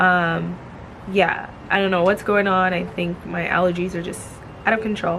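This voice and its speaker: The room echo is audible. There is noticeable background noise as well. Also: woman. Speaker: lifestyle vlogger. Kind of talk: casual vlog talk. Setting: outdoors.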